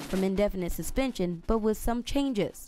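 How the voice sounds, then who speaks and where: A woman's medium-pitched voice at a fairly quick pace, with music in the background. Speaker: TV news reporter. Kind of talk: TV news feature narration.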